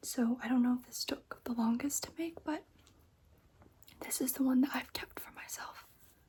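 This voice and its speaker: A soft-spoken woman's high voice, dark and mellow in tone, with long, frequent pauses. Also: ordinary pitch variation, moderate pace. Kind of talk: ASMR crochet show-and-tell, casual talk to camera. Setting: quiet bedroom lit by candles.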